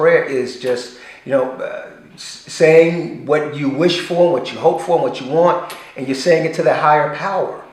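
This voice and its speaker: This man talks at a moderate pace with a high pitch and ordinary pitch variation. Noticeable background noise and audible room echo fill the recording. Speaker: actor and parent. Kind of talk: casual chat.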